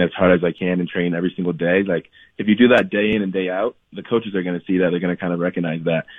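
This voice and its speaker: A man with an American accent, a very deep, low pitch and monotone, flat intonation. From US Midwest, Columbus, Ohio. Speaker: professional soccer player. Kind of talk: radio interview.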